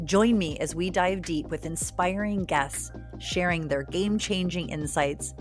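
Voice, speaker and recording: A woman speaks fairly slowly with music in the background. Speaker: podcast host. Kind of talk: podcast intro read.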